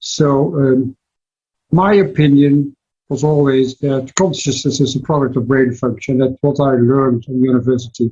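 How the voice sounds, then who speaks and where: Speaking with a Dutch accent, a man uses a dark, mellow, somewhat breathy tone at a moderate pace, with fairly even intonation and very even loudness. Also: medium pitch for a man. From Netherlands. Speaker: cardiologist. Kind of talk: interview. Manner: halting.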